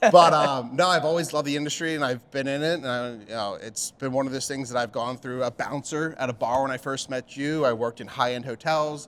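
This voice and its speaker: Through noticeable background noise, a man with a fairly high pitch speaks fairly quickly and evenly, with hardly any pauses. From Pennsylvania, Pottstown. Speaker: bartender and beverage manager. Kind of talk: casual chat.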